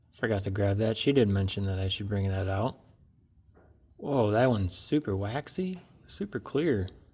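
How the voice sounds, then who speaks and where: A man speaks at a moderate pace and fairly low pitch with ordinary pitch variation, leaving long, frequent pauses. His voice is somewhat breathy, and the recording is very clean with a silent background. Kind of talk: unboxing show and tell. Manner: animated.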